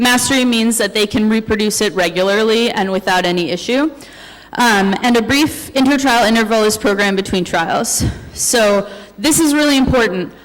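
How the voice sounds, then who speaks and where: Speaking with a fairly high pitch, a woman keeps a very even loudness and ordinary pitch variation. Noticeable background noise and audible room echo fill the recording. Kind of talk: conference presentation. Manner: fast.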